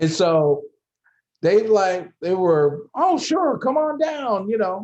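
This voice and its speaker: This man talks at a fairly slow pace. His pitch swings very widely. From Los Angeles area, California. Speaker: fraternity alumnus, former chapter leader. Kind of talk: interview, personal storytelling. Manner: casual, frequent fillers and repetitions.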